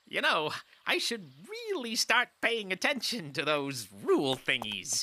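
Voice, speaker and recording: This is a cartoonish character voice with a pompous tone. It moves at a fairly slow pace with a fairly high pitch. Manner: pompous, self-aggrandizing.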